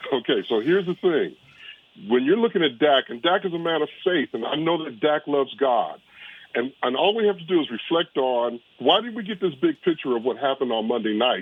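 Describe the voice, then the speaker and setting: A fairly high-pitched man at a fairly quick pace, very wide pitch swings, noticeable background noise throughout. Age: 70s. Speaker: caller, pastor. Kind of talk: call-in phone talk.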